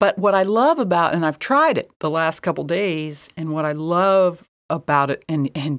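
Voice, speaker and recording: Recorded very cleanly with a silent background, a woman with an American accent talks at a moderate pace with ordinary pitch variation. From US Midwest. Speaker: artist and podcast co-host. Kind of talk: casual chat.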